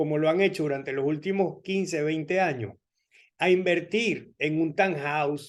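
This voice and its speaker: Over a quiet background, a man with a Venezuelan accent talks at a fairly slow pace. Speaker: immigration lawyer. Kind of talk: informational talk.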